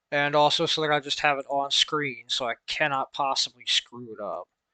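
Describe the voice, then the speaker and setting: A man's bright, sharp tone comes through with an American accent in a dry, close sound with no echo. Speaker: instructor explaining logic.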